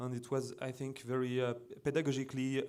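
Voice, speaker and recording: A moderate pace in a French accent, with audible room echo. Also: man. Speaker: computer music designer and composer. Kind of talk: conference presentation. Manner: halting.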